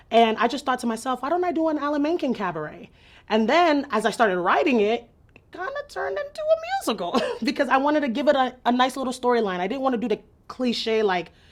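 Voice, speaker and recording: A woman speaks with a Nigerian accent at a high pitch. Her pace is very fast and her intonation lively. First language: Igbo. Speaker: theater writer and performer. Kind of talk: interview.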